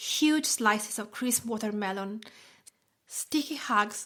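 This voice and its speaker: With an Italian accent, a woman speaks at a fairly slow pace in a bright, sharp tone. Her fairly high pitch shows ordinary variation. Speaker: food blogger and podcast host. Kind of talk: personal essay reading.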